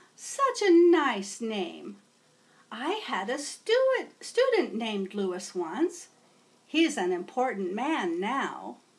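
A woman uses a put-on character voice with a warm, gentle tone. She talks at a very slow pace. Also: fairly high pitch for a woman. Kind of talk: read-aloud storytelling. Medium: read story. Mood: fond, gentle.

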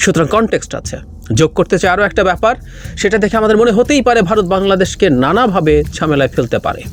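Noticeable background noise sits under a man's voice. He speaks at a high pitch with lively intonation. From Bangladesh, Rangamati district. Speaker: political commentator. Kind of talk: political commentary monologue.

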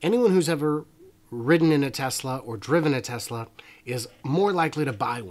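Lively intonation marks the man's speech, delivered at a moderate pace. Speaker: livestream host. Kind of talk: casual livestream commentary.

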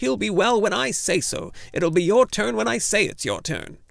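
Putting on a hissing character voice, a man speaks at a moderate pace and a high pitch, his pitch swinging very widely.

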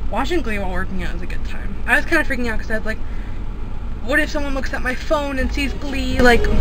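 Over noticeable background noise, a woman talks at a very fast pace in a dry sound with no echo. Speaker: vlogger. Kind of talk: casual vlog talk to camera. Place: car. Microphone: phone near.

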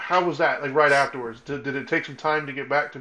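A man's fairly high voice at a fairly quick pace, with fairly even intonation. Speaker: podcast co-host. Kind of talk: casual chat. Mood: calm, empathetic. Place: home room. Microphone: video call.

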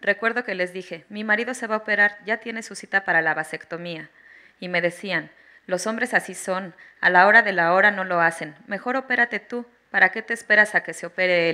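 A woman with a Mexican accent speaks at a fairly quick pace in a medium pitch, her tone bright and sharp. Her loudness swings widely and her pitch varies in an ordinary way, against a quiet background. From Mexico. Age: 30s. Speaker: mother giving testimony on obstetric violence; witness. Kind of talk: testimony. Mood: serious, emotional. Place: hall. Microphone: handheld.

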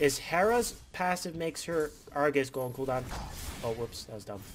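A man talks at a fairly quick pace with very wide pitch swings. Noticeable background noise is present. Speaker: gaming video creator. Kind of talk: gameplay commentary. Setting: home recording. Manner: stuttering.

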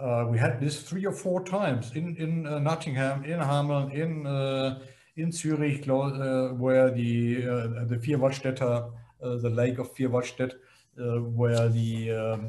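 Over light background noise, a man talks at a fairly slow pace with ordinary pitch variation. His voice is somewhat breathy with a dark, mellow tone. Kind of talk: interview answer. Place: office. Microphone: webcam.

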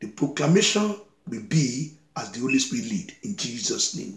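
Somewhat breathy, a man talks at a moderate pace against a quiet background with audible room echo. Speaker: preacher. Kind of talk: sermon. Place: home room. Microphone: phone near.

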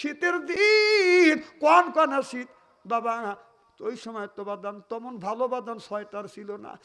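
A man speaks in a raised, projected voice at an extremely high pitch. His pitch swings very widely and his loudness rises and falls in big swings. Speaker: Islamic preacher. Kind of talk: sermon.

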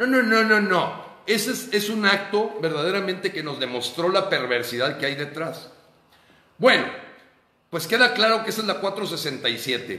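A man's raised, projected voice, high in pitch, animated in tone, with lively intonation at a fairly slow pace and audible room echo. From Mexico. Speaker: political activist. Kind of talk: monologue commentary. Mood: indignant, critical. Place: home room. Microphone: phone near.

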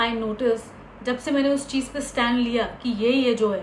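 A woman with a Hindi accent and a high pitch speaks with fairly even intonation, with audible room echo and light background noise. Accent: Hindi accent in English, full. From India, Uttar Pradesh. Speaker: actress and vlogger; actress, vlogger. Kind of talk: personal story vlog. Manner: Hindi-English code-switching. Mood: reflective, earnest. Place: home room. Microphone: phone near.

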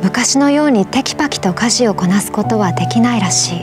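With clear music in the background, a woman speaks at a moderate pace. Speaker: voice actor. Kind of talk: emotional short story reading. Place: studio.

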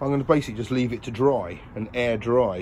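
A man talks at a moderate pace with ordinary pitch variation. There is light background noise. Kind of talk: casual vlog chat. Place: boat. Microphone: phone near.

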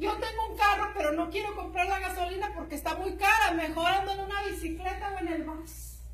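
A woman's extremely high, animated voice at a fairly quick pace with hardly any pauses, plus audible room echo and light background noise. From rural Jalisco, Mexico. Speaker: network marketing distributor; presenter. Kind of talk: motivational talk. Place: meeting room. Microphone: camera far.

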